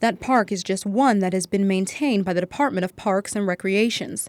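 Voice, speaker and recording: At a fairly quick pace, a woman with a plain, everyday voice speaks at a medium pitch on a very clean recording with a silent background and a dry, close sound with no echo. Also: ordinary pitch variation. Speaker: news reporter. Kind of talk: TV news report.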